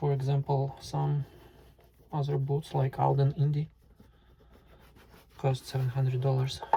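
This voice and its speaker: In a medium-pitched, somewhat breathy voice, a man talks with monotone, flat intonation. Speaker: boot reviewer, YouTuber. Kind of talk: tutorial. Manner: halting, with fillers.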